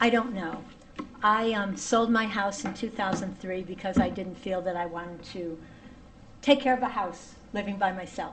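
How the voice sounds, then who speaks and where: Amid noticeable background noise and audible room echo, a woman speaks at medium pitch and moderate pace with ordinary pitch variation. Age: 70s. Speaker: public commenter, tenant. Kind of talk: public hearing testimony. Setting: town hall meeting.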